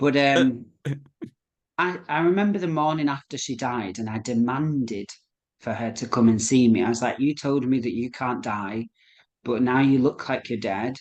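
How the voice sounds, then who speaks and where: At a moderate pace, a man with a Lancashire accent speaks at medium pitch with ordinary pitch variation. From Rochdale, Lancashire. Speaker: psychic medium. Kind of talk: interview answer.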